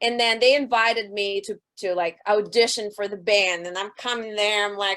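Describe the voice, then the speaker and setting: Loud and bright, a woman talks at a moderate pace and medium pitch, her tone sharp and her intonation fairly even. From Russia. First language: Russian. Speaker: rock band singer. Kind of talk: interview.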